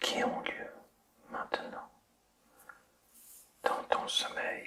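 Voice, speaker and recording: Whispered words come at a very slow pace in a soothing tone. Noticeable background noise runs underneath. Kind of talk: ASMR sleep-inducing guided relaxation, whispered to the listener. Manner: soft, slow, soothing, whispered.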